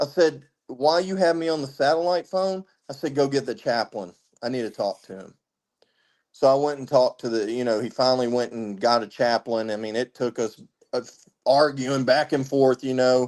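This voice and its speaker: In a Southern US accent and at a moderate pace, a man speaks with big swings in loudness and ordinary pitch variation over a quiet background. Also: medium pitch for a man. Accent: Southern twang. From Tennessee, west of Nashville. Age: 30s. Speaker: military veteran. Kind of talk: casual interview chat.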